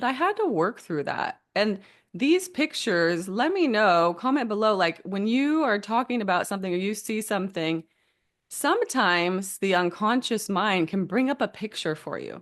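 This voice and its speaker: Over a quiet background, a woman at a medium pitch talks at a moderate pace with lively intonation. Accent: American. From California. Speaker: hypnotherapist and healer. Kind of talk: casual talk to camera. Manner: animated.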